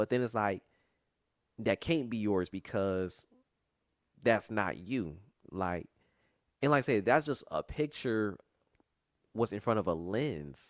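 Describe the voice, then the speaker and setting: The recording is very clean with a silent background and a dry, close sound with no echo. A man with a fairly low pitch speaks fairly slowly, with long, frequent pauses, lively intonation and an animated tone. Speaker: podcast host. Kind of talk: casual chat.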